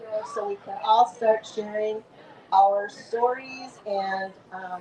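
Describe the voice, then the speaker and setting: Noticeable background noise sits behind this woman's speech. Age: 70s. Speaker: author. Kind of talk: author talk at book fair booth.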